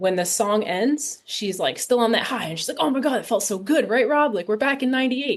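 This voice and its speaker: A plain, everyday voice from a woman, fairly high in pitch, with an American accent and lively intonation over a quiet background. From US Northeast, Rhode Island. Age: 30s. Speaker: film director. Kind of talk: podcast interview.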